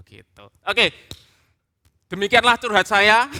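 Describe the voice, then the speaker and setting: With a bright, sharp tone and a dry, close sound with no echo, a man speaks in a raised, projected voice at a high pitch. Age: 30s. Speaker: preacher, theologian. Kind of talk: sermon.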